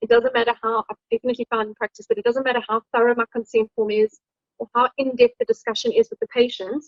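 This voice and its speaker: A woman speaks very fast in a high pitch with monotone, flat intonation. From South Africa. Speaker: dermatologic surgeon. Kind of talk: lecture.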